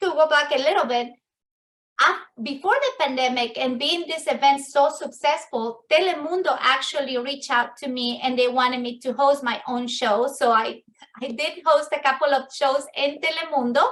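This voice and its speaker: At a moderate pace, a woman with an Ecuadorian accent speaks in a high pitch with ordinary pitch variation. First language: Spanish. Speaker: business networking event host. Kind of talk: virtual networking meeting talk. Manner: halting, with fillers and restarts.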